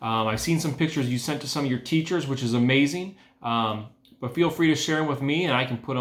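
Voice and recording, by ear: Natural-voiced reading aloud, its pitch varying in an ordinary way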